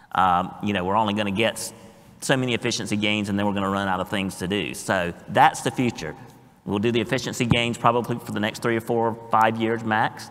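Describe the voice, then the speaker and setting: A fairly low-pitched man with a Southern US accent at a very fast pace, his intonation fairly even. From US South. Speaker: blockchain industry panelist. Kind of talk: panel discussion.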